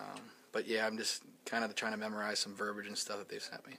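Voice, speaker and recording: Speaking very fast in an American accent, a man has a fairly low pitch and a bright, sharp tone. His intonation stays flat and monotone. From US Midwest, Steubenville, Ohio. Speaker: football quarterback. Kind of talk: press interview. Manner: halting, many fillers and repeats.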